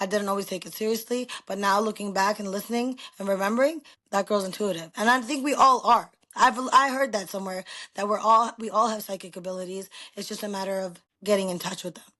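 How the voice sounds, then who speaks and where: A woman's bright, sharp, animated voice at a very fast pace. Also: medium pitch for a woman, ordinary pitch variation, big swings in loudness. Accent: New York. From New York. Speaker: podcast guest. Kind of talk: casual chat. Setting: video recording on camera. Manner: loud.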